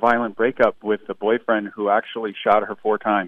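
A man with an American accent, medium in pitch, with monotone, flat intonation. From Toledo, Ohio. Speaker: author. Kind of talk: interview. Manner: halting.

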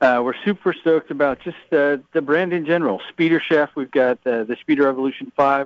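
This man has a normal speaking voice, pitched fairly high, with ordinary pitch variation at a fairly quick pace. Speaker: golf shaft sales director. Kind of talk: interview. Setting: trade show in Orlando.

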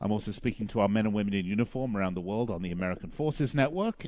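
Speaking at a very fast pace, a man with a fairly low pitch uses lively intonation. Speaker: radio host. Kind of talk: live sports radio show. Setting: studio. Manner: chatty, filler-heavy.

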